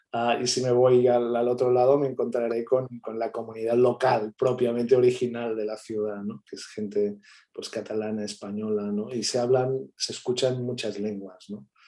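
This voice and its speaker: A man with a medium pitch and a dark, mellow tone talks at a moderate pace in monotone, flat intonation, with hardly any pauses and big swings in loudness. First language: Catalan (speaking Spanish). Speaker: academic guest speaker. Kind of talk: seminar talk answering questions.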